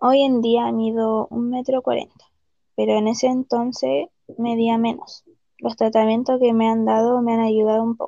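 A woman with an unremarkable speaking voice talks at a fairly slow pace and a fairly high pitch. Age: 30s. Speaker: patient. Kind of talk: testimony.

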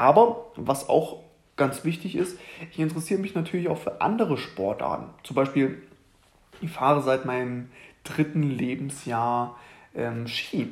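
Speaking at a fairly slow pace, a man leaves long, frequent pauses. His voice sits at a fairly high pitch with lively intonation. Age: 20s. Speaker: fitness coach and podcast host. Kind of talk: solo podcast monologue. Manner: casual with many fillers.

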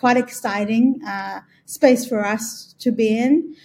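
A woman's somewhat breathy voice, fairly high in pitch, with fairly even intonation. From Australia. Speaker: B2B growth agency CEO. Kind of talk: interview. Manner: hesitant, many fillers.

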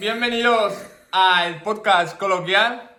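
Here a man speaks with a high pitch. Audible room echo is present. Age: 20s. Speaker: podcast guest, YouTuber. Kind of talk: casual chat.

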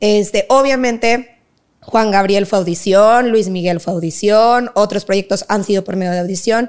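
A plain, everyday voice keeps its intonation fairly even while moving at a fairly slow pace. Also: woman, medium pitch for a woman. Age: 20s. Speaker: dance teacher and academy founder. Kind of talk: casual interview.

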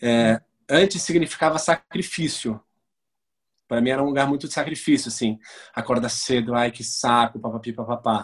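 A man speaks at a medium pitch and a moderate pace. He takes long, frequent pauses, with ordinary pitch variation. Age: 30s. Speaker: actor and photographer. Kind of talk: interview.

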